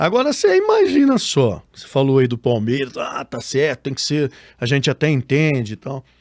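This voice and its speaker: Moderate pace from a man, big swings in loudness, and a dry, close sound with no echo. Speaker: radio sports announcer, podcast guest. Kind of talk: interview answer.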